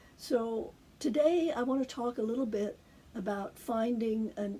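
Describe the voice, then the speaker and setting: A woman's voice, dark and mellow, comes through somewhat breathy. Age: 70s. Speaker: cancer patient vlogger. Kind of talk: personal video talk. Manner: halting, many fillers.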